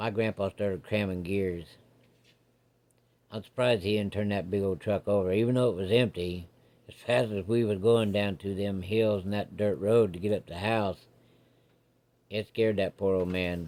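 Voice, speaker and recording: A man drawls in a put-on character voice at a fairly low pitch and moderate pace. He leaves long, frequent pauses. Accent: rural American. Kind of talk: campfire ghost story. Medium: solo performance. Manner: folksy, drawling.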